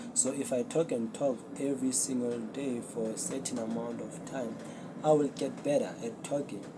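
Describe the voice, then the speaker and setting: A moderate pace with audible room echo. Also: man. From South Africa. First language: Zulu. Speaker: podcast host. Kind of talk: casual solo talk to camera. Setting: talking to a camera. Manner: unscripted, hesitant.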